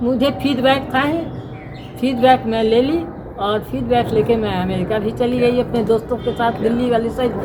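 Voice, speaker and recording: Her voice is high-pitched, with fairly even intonation. This woman is recorded with audible room echo and noticeable background noise. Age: 80s+. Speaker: women's rights activist. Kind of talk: interview.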